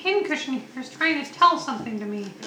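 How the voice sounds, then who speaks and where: The speaker uses a put-on character voice with a high pitch at a fairly quick pace. Clear background noise is present. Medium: actual play. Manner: grumbling, threatening.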